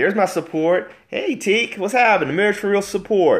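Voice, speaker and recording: A man speaks loudly at a high pitch, his tone animated. His pitch swings very widely. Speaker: marriage livestream host. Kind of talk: live stream chat reading viewer comments.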